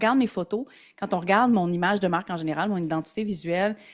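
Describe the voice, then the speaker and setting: The recording is very clean, with a silent background. A woman with a Quebec accent talks at a very fast pace. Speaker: entrepreneur. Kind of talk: casual chat. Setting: podcast interview.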